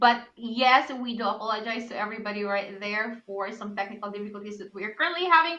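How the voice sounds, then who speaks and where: Over audible room echo, a woman speaks at a moderate pace in a bright, sharp, medium-pitched voice. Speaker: esports caster. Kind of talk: live commentary. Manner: stuttering.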